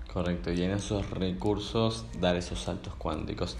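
With vocal fry and lively intonation, a man speaks at a very deep, low pitch and a moderate pace amid audible room echo. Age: 20s. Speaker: podcast host. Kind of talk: interview conversation.

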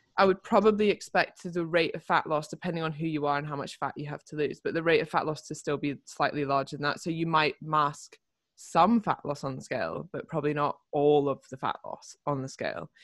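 On a very clean recording with a silent background, a woman with a British accent talks at a fairly quick pace in a very deep, low voice. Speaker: fitness coach. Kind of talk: casual chat.

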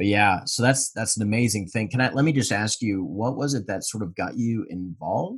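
Somewhat breathy and fairly low in pitch, a man talks at a fairly quick pace with hardly any pauses and ordinary pitch variation. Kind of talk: podcast interview.

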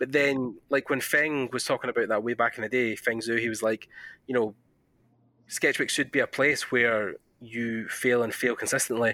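On a very clean recording with a silent background, a man speaks at a moderate pace and medium pitch in a bright, sharp tone, monotone and flat, the sound dry and close with no echo. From Scotland. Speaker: podcast host. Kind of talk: casual interview. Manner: informal, filler-heavy.

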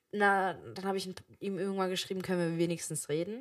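The speech is very fast with fairly even intonation, captured in a very clean recording with a silent background. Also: woman. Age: 20s. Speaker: podcast co-host, daughter. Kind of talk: casual chat.

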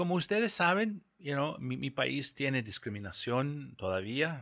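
Someone speaks at a fairly slow pace in a very clean recording with a silent background. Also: man. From US Southwest, New Mexico. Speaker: bank executive. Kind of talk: interview. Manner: halting.

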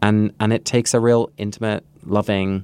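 With a plain, everyday voice, a man speaks at a moderate pace in a fairly low pitch with fairly even intonation. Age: 20s. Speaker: podcast co-host. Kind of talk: casual book discussion.

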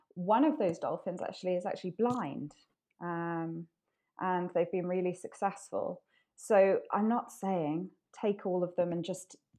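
Dark, mellow tone from a woman at medium pitch, fairly slow in pace, with ordinary pitch variation against a quiet background. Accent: Welsh. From Wales. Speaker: ocean conservation advocate. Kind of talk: casual interview. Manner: hesitant, many fillers.

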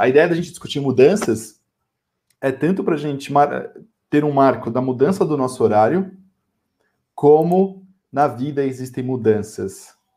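The speech moves at a moderate pace in a dark, mellow tone, broken by long, frequent pauses. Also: man, fairly high pitch for a man, lively intonation. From São Paulo, Brazil. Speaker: podcast co-host. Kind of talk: casual chat. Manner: animated.

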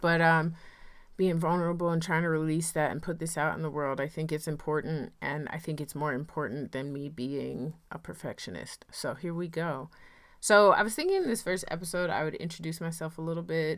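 With an American accent, a woman talks at a fairly quick pace and a fairly low pitch. Her intonation stays fairly even on a very clean recording with a silent background. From US South, North Carolina (Rocky Mount). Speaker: podcast host, farmer. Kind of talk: solo podcast monologue. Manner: casual, conversational.

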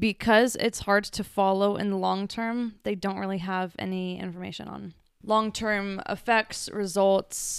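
On a very clean recording with a silent background, a woman speaks at a fairly slow pace in a medium pitch with monotone, flat intonation. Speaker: podcast co-host. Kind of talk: casual chat.

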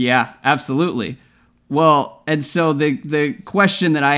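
A man speaks at a moderate pace in a normal speaking voice, with ordinary pitch variation. The recording is very clean, with a silent background. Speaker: podcast host. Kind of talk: casual basketball podcast chat. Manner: casual, joking.

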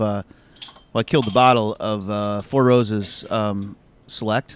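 A man with a Midwestern accent in a dry, close sound with no echo. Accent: general American Midwest. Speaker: podcast host. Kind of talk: casual banter. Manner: joking, profane.

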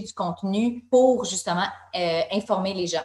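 The voice is an unremarkable speaking voice. It moves at a fairly slow pace with fairly even intonation. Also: woman. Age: 30s. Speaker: wellness magazine co-founder. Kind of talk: interview conversation.

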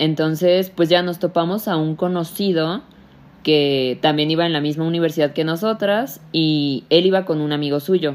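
With ordinary pitch variation, a woman speaks at a very deep, low pitch. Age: 20s. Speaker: podcast co-host. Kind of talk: casual chat.

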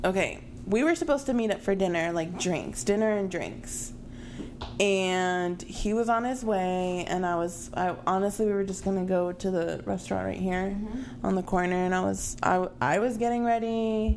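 A woman with a medium pitch speaks at a moderate pace with ordinary pitch variation, and room echo is audible. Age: 20s. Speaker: podcast co-host. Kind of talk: casual chat.

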